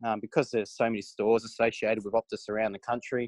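This man has a fairly low pitch and speaks with an Australian accent. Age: 20s. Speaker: racing driver. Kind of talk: interview.

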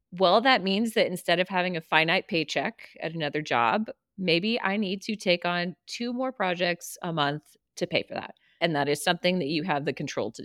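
At a moderate pace, a woman uses a normal speaking voice with fairly low pitch and lively intonation. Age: 40s. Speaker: podcast co-host, business coach. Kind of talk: casual chat.

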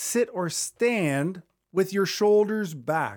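An upbeat man's voice with very wide pitch swings on a very clean recording with a silent background. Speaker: podcast host and leadership coach. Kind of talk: solo podcast monologue about public speaking. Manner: conversational, upbeat, smiling.

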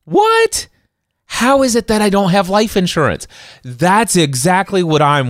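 A man's voice with very wide pitch swings. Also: very clean recording, silent background. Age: 40s. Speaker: podcast host. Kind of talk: casual chat.

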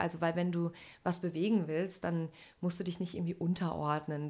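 Her voice sits fairly low. The woman talks at a middling speed. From Sauerland, NRW, Germany. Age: 40s. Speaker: insurance executive. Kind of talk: interview. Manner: animated.

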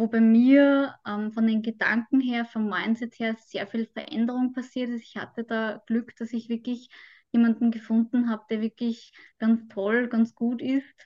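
In a fairly slow, monotone delivery with an Austrian accent, a woman speaks at a fairly high pitch with a dark, mellow tone, the sound dry and close with no echo against a quiet background. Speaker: mental trainer and migraine patient. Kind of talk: interview.

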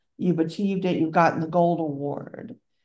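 With a Southern US accent, a woman keeps fairly even intonation at a fairly low pitch in a dark, mellow tone. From Louisiana, US South. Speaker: podcast host and bracelet seller. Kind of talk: casual chat podcast.

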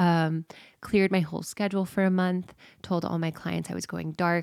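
A woman's fairly low voice at a moderate pace, monotone and flat, with a dry, close sound and no echo. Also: very clean recording, silent background. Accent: American. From Houston, Texas. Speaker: podcast host and coach. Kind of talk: casual monologue with guided meditation. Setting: childhood bedroom at home.

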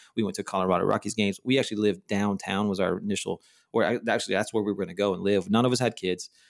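In a very clean recording with a silent background and a dry, close sound with no echo, a man with an American accent speaks very fast at a fairly low pitch. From Texas (Dallas-Fort Worth). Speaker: church planting coach and consultant. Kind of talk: casual interview. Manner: animated, laughs often.

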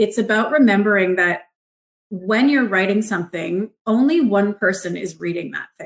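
A woman with an Ontario accent, medium-pitched, at a moderate pace, with ordinary pitch variation and big swings in loudness. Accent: Canadian (Ontario). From Ontario, Canada (Markham, Toronto suburb). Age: 30s. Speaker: copywriter. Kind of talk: casual chat.

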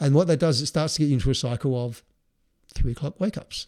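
In a very clean recording with a silent background, a man with an Australian accent and a medium pitch speaks very fast in a somewhat breathy voice. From Adelaide, South Australia. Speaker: design business founder. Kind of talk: casual interview.

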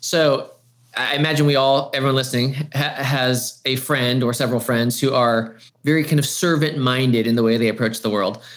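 A man with a normal speaking voice at a medium pitch, fairly quick pace, fairly even intonation and very even loudness. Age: 40s. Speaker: church creative pastor turned marketing agency owner. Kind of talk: casual chat.

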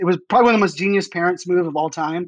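Fairly even in intonation, a man with an American accent talks in a high pitch. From Pittsburgh then Virginia Beach, US. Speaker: keynote speaker and futurist. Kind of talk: casual interview chat. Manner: fast talker.

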